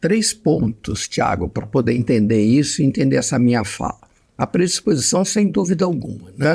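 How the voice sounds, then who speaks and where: At a moderate pace, a man with a medium pitch uses very wide pitch swings and vocal fry. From Brazil, Mato Grosso and Rio de Janeiro. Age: 70s. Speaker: psychiatrist. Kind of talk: interview conversation.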